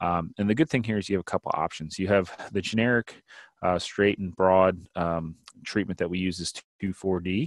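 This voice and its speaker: With an American accent, a man talks at a fairly quick pace in a very deep, low voice on a very clean recording with a silent background. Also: ordinary pitch variation. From Pennsylvania, US. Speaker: wildlife extension specialist. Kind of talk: educational presentation.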